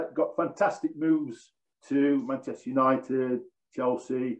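Speaking at a fairly slow pace over a quiet background, a man with an East Midlands accent uses a fairly high pitch and fairly even intonation. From Nottinghamshire, English East Midlands (Mansfield); English East Midlands. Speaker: former professional footballer; guest. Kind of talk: casual interview chat. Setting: video call. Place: home room. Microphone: video call.

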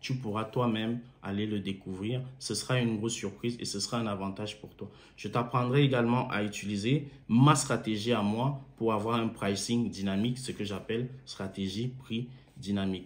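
The speaker is a man. He keeps a moderate pace and fairly even intonation. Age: 30s. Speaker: engineer and car-sharing entrepreneur promoting a course. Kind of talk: sales pitch. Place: home room. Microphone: phone near.

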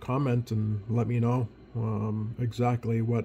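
A somewhat breathy man's voice, dark and mellow in tone, with fairly even intonation over light background noise. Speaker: radio hobbyist. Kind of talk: casual hobby walkthrough. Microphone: phone near.

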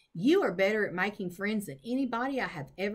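The reading voice here is unforced.

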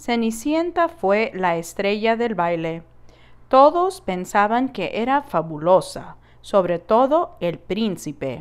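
Very slow and warm in tone, the voice moves through very wide pitch swings. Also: woman, fairly high pitch for a woman. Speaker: educator reading to children. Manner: warm, expressive, child-friendly storyteller pacing; animated, with playful sound effects like 'Puf'.

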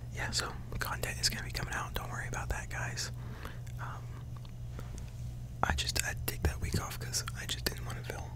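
Over loud background noise, a soft-spoken man talks at a fairly quick pace. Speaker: content creator. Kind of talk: casual vlog chat. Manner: soft, close-mic ASMR talking. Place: home room. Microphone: studio mic.

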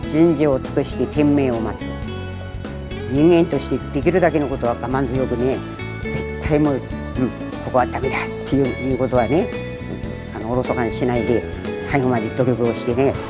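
Clear music plays in the background. A woman talks at a fairly quick pace with long, frequent pauses. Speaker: naginata federation chairwoman, retired teacher. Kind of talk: instructive talk to children. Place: gym.

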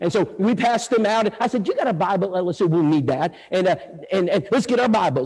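A man with a Texan accent talks at a very fast pace. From Texas, Bulverde near San Antonio. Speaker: evangelist. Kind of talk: sermon. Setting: church with audience.

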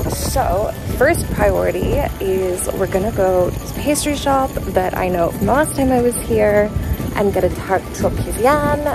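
With clear music behind her and a dry sound with no echo, a woman talks at a moderate pace. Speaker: travel vlogger. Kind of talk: casual vlog chat. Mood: cheerful, slightly worn out. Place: waterside. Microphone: phone near.

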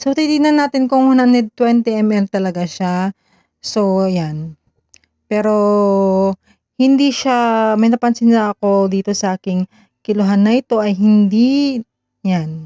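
A woman's very slow, fairly high-pitched voice, dark and mellow in tone, with ordinary pitch variation and a dry, close sound with no echo. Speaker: vlogger. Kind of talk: vlog voiceover. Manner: slurred, stumbling speech from a stroke.

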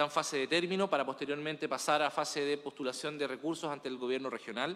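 With a bright, sharp tone, this man speaks with ordinary pitch variation. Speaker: municipal official reporting to council. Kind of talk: formal meeting report. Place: meeting room.

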